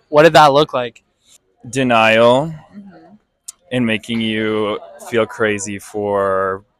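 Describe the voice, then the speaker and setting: A man with an unremarkable speaking voice talks in a fairly low pitch with ordinary pitch variation. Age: 20s. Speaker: interviewee. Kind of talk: casual interview.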